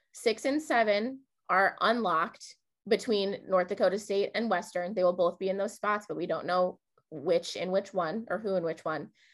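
This woman has an ordinary speaking voice, medium in pitch with ordinary pitch variation. She talks at a moderate pace against a quiet background. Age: 20s. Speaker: podcast host. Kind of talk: casual chat.

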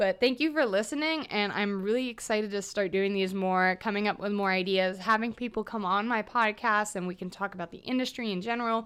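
Speaking with an American accent, a woman with a normal speaking voice talks at a fairly quick pace and medium pitch, with ordinary pitch variation and hardly any pauses. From US South, Atlanta then Austin, Texas. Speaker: chef and podcaster. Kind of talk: casual solo podcast monologue. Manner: casual, with frequent laughs and fillers.

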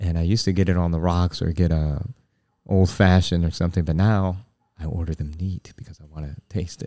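A man with a very deep, low pitch and dark, mellow tone, fairly quick and fairly even in intonation, with big swings in loudness. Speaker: podcast host. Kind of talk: casual religious podcast chat.

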